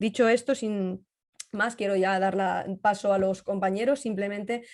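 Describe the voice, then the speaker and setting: A woman at a medium pitch with fairly even intonation. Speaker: cybersecurity journalist and trainer. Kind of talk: webinar talk and Q&A. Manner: fast.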